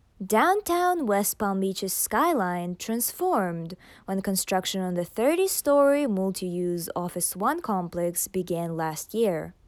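In a plain, everyday voice, the speaker uses lively intonation at a fairly slow pace with hardly any pauses, recorded very cleanly against a silent background. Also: woman, medium pitch for a woman. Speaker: news anchor. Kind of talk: formal newsreading. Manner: formal, crisp newsreader delivery.

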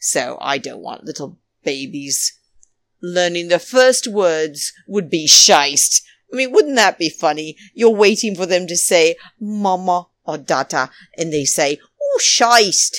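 With a plain, everyday voice, a woman speaks at a fairly slow pace and a fairly low pitch with lively intonation, in a dry, close sound with no echo. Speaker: podcast host. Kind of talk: casual chat, recapping reality TV. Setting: pre-recorded, New York City. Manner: chatty, rambling, playful.

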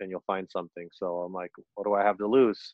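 A man talks at a fairly quick pace with a fairly low pitch. It is an ordinary speaking voice. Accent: American. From Orange County, California. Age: 40s. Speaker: vintage clothing reseller and live streamer. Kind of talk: casual interview chat.

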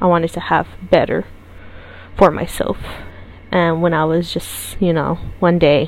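Over noticeable background noise, a woman with a fairly low pitch talks at a fairly slow pace in a monotone, flat intonation. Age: 20s. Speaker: podcast host and journalism student. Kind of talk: solo podcast monologue.

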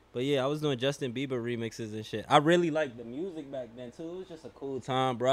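A man talks at a very fast pace in a New York accent. His pitch varies in an ordinary way. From New York, Queens. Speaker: rapper. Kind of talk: casual chat.

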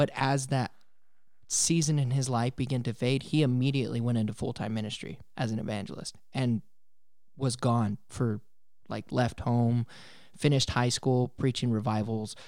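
In an American accent, a man with a plain, everyday voice speaks at a moderate pace and medium pitch with fairly even intonation. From Colorado. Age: 20s. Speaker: church coordinator and musician. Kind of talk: testimony.

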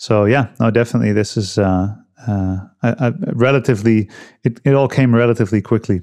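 At a fairly quick pace, a man speaks with fairly even intonation against a quiet background. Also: medium pitch for a man. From Netherlands. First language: Dutch. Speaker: health and cold-exposure coach. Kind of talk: casual interview conversation. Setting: remote call.

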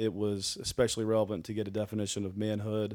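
This is a man talking. His pace is very fast. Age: 40s. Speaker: church member, married father of four. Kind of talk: casual interview about faith and marriage.

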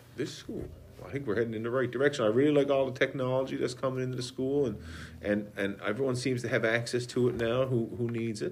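Talking at a very fast pace with fairly even intonation, a man with a Newfoundland accent has a medium pitch, and the room echo is audible. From Newfoundland, Conception Bay South. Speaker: school guidance counselor. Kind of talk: interview answers.

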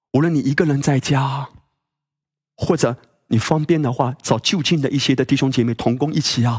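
The voice is somewhat breathy, moving at a moderate pace with very even loudness. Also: man, fairly high pitch for a man. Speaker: pastor. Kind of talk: sermon. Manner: animated.

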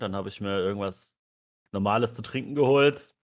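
A man talks at a fairly low pitch with ordinary pitch variation. The recording is very clean, with a silent background. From rural Germany. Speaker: podcast co-host. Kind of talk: casual chat.

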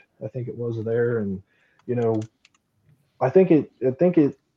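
In an ordinary speaking voice, a man talks at a medium pitch and moderate pace. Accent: American. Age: 20s. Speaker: sprint car driver. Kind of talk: interview.

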